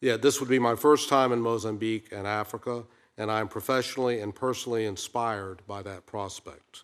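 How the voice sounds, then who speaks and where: A man with an ordinary speaking voice talks at a fairly quick pace and medium pitch, with big swings in loudness. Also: fairly even intonation. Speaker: ambassador nominee, career diplomat. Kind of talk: formal testimony at hearing. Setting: Senate committee hearing room.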